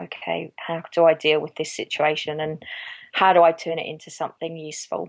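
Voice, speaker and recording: With an Australian accent, a woman speaks in a very deep, low voice at a fairly quick pace, her intonation monotone and flat. Her loudness swings widely on a very clean recording with a silent background. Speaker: yarn dyer and small business owner. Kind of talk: interview answer.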